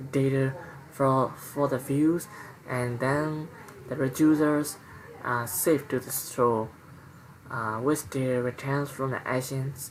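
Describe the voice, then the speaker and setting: Someone soft-spoken talks at a fairly slow pace over noticeable background noise. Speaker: programming tutorial creator. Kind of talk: tutorial. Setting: at home at night. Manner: halting. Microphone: quiet recording level.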